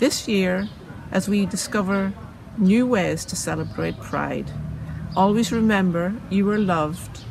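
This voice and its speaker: A woman speaks at a fairly slow pace with long, frequent pauses, amid audible room echo and noticeable background noise. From Northern Ireland. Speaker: city councillor. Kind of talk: prepared speech.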